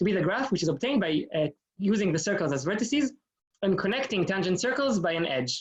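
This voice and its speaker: A man's high-pitched voice, very wide pitch swings, delivered at a very fast pace. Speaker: graduate student lecturer. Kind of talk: lecture. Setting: video call. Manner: hesitant, many fillers.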